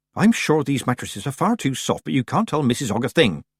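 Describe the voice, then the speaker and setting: Using a put-on character voice, a man at medium pitch races along at a very fast pace with very wide pitch swings, in a dry, close sound with no echo. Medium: read story. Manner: sniffy, disapproving.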